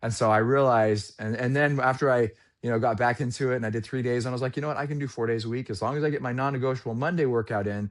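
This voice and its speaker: A man talks at a very fast pace in a medium pitch. The background is quiet. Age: 40s. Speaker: sales trainer. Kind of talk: casual chat. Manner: animated.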